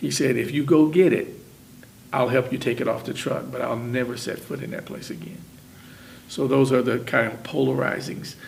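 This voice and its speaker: Amid noticeable background noise and audible room echo, the speaker uses an American accent at a moderate pace with ordinary pitch variation. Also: man. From Indiana, Muncie. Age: 60s. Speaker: retired factory worker. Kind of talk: oral history interview.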